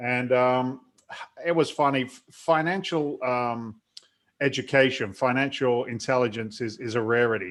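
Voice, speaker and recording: A man with an American accent speaks at a moderate pace, his medium pitch showing ordinary variation. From London, England. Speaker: real estate investor, former firefighter. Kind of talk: interview. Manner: talkative.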